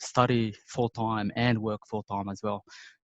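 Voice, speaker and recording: Dry and close with no echo, the voice speaks fairly slowly in a non-native accent with monotone, flat intonation. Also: man. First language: not English. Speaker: IT professional. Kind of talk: casual interview. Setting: video call. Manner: hesitant, many fillers.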